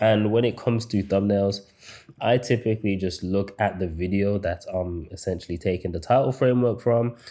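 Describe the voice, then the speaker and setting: A man with a British accent speaks in a fairly low pitch, his tone dark and mellow and his intonation fairly even. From England, Birmingham. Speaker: YouTube growth coach. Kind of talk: online course lecture. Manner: stutters at times; casual, halting with repetitions.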